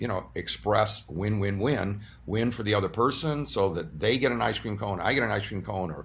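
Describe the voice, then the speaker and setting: Vocal fry from a man at a fairly low pitch, with lively intonation and a fairly quick pace. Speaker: surgeon and energy-practice teacher interviewed as a guest. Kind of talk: interview answer, explanatory talk.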